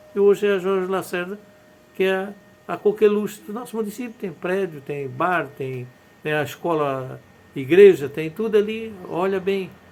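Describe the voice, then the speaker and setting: A man talks at a moderate pace in a high pitch, with ordinary pitch variation. His loudness swings widely, and there is noticeable background noise. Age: 70s. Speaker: former mayor. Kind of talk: interview storytelling.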